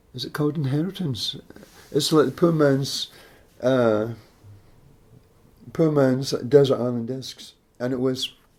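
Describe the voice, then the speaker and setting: In a west of Scotland accent, a man at medium pitch speaks at a fairly slow pace with long, frequent pauses, ordinary pitch variation and big swings in loudness. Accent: west of Scotland Scottish. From Scotland, Greenock near Glasgow. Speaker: jazz musician. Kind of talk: interview. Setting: at home.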